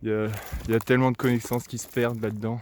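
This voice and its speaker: The recording is very clean with a silent background. A man speaks in a flat monotone. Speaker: vlogger. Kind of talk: casual vlog monologue. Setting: outdoors, walking by a road. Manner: hesitant, many fillers.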